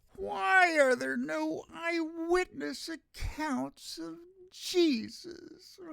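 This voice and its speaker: In a high, whiny, put-on character voice, the speaker drags along at a very slow pace. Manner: mocking, put-on.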